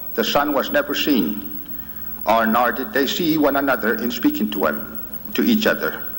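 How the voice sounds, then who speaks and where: A man speaks at a fairly slow pace amid audible room echo and noticeable background noise. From Oklahoma, Okemah area (Creek Nation). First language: Muskogee Creek. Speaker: medicine man, invited speaker. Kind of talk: lecture to students. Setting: university auditorium with audience.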